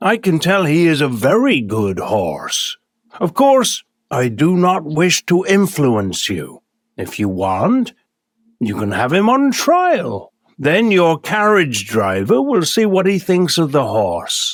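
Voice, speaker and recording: A man's put-on character voice, high-pitched for a man, at a fairly slow pace. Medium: read story. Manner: polite, persuasive.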